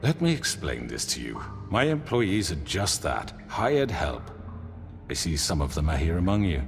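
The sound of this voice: A man's put-on character voice, low in pitch with vocal fry and big pitch swings, at a moderate pace over clear music in the background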